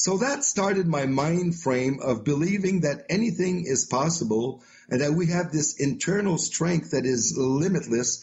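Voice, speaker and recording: A man with a French-Canadian accent speaks at a fairly high pitch, his loudness very even and his intonation lively. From Quebec, Canada. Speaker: author and motivational speaker. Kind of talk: podcast interview.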